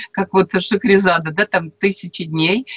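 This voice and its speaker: Ordinary pitch variation runs through the speech. It comes from a woman. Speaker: radio show guest co-host. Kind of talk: interview answer. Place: home room. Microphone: video call.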